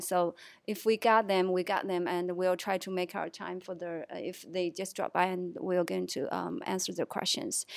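Very clean recording of a woman with a Chinese accent, medium-pitched, at a moderate pace over a silent background. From Chongqing, southwest China. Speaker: assistant college counselor. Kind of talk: casual chat. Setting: studio. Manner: halting.

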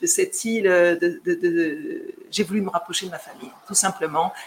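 Noticeable background noise runs under the recording. A woman speaks with ordinary pitch variation. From metropolitan France, of Guadeloupean family. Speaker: real estate agent. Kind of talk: live stream Q&A. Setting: live video stream. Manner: hesitant, many fillers.

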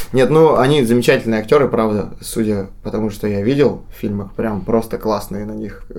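Over noticeable background noise, a man with a medium pitch speaks at a moderate pace with ordinary pitch variation and hardly any pauses. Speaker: actor. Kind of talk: casual chat. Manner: joking, informal.

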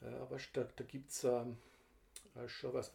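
A man with a slight Vorarlberg accent speaks fairly slowly, his tone dark and mellow and somewhat breathy. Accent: Vorarlberg dialect, mild. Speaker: podcast co-host, father of the other host. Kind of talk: casual chat.

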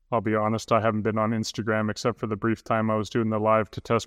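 Speaking very fast with a western Canadian accent, a man comes through with a dry, close sound free of echo in a very clean recording over a silent background. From northern Alberta, Canada. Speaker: maker and content creator. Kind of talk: casual chat.

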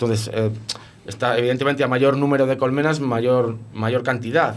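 This man has a medium pitch, fairly even intonation and a normal speaking voice. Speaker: beekeeper. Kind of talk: casual radio interview.

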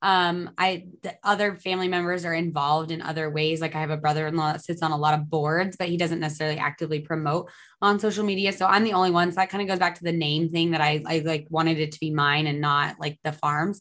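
A woman with an American accent talks very fast in a bright, sharp tone with fairly even intonation against a quiet background. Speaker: dairy farmer and environmental consultant. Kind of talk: casual interview. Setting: video call.

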